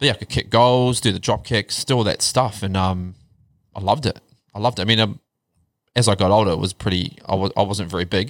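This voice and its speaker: A man with a New Zealand accent at a fairly low pitch, ordinary pitch variation and a very fast pace, on a very clean recording with a silent background. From New Zealand, Wellington (Upper Hutt). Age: 40s. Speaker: podcast guest sharing mental health journey. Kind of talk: casual chat.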